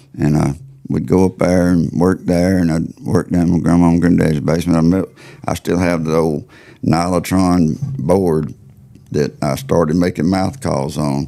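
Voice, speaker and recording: A man's very deep, low voice in a Southern US accent, at a moderate pace with very even loudness and ordinary pitch variation. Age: 60s. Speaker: turkey call maker. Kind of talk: casual interview chat.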